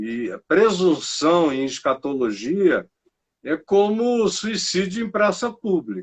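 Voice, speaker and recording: Very slow delivery with very wide pitch swings. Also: man, high pitch for a man. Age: 60s. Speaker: pastor. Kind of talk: interview.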